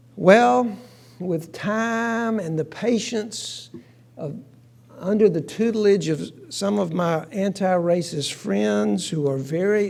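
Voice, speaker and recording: A man with lively intonation at a very slow pace, in audible room echo. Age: 60s. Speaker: minister. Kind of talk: sermon.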